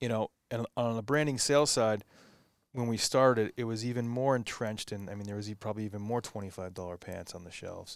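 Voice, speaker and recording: A man talks very fast at a medium pitch with ordinary pitch variation and big swings in loudness. The recording is very clean with a silent background. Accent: American. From US Northeast, Massachusetts North Shore. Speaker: clothing company co-founder. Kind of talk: casual interview chat.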